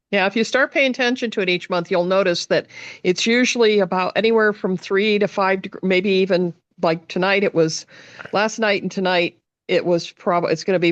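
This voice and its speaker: A woman with a plain, everyday voice speaks at a medium pitch and a moderate pace with ordinary pitch variation, in a dry, close sound with no echo. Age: 60s. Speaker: meditation group participant. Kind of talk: casual chat.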